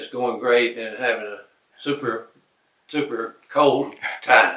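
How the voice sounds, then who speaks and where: Here a man speaks at a very slow pace with fairly even intonation. His loudness swings widely. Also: medium pitch for a man. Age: 70s. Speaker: long-distance hiker, retired teacher. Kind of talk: casual interview on the trail. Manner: halting with fillers.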